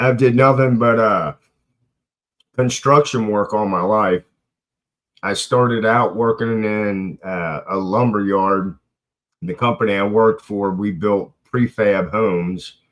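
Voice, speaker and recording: A man speaks fairly slowly at a fairly low pitch with ordinary pitch variation, leaving long, frequent pauses. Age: 60s. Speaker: livestream host, construction worker and military veteran. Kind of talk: casual chat. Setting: live stream open panel. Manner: hesitant, many fillers.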